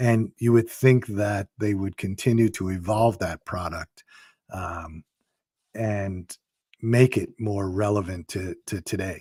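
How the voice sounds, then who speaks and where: A man's fairly low, dark and mellow voice, somewhat breathy, at a very slow pace with fairly even intonation, recorded very cleanly against a silent background with a dry, close sound and no echo. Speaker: podcast host. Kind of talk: interview question.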